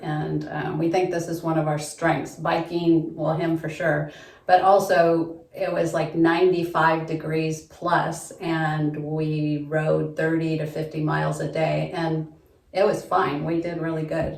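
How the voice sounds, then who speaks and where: A woman with a very deep, low voice and an American accent speaks in a monotone, flat way, with audible room echo and noticeable background noise. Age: 50s. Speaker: construction office worker. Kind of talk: audition video.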